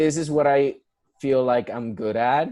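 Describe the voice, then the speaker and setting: A man with a Spanish accent at a fairly slow pace, against a quiet background. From Puerto Rico. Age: 20s. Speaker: musical theatre performer. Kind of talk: interview.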